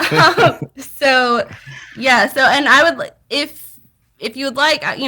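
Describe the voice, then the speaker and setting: On a very clean recording with a silent background, a woman speaks at a moderate pace in a bright, sharp tone. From US South. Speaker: podcast guest. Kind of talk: casual chat.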